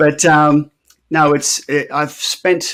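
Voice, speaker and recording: This man's voice sits fairly high. He talks in an Australian accent. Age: 60s. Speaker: artist and project founder. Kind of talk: interview.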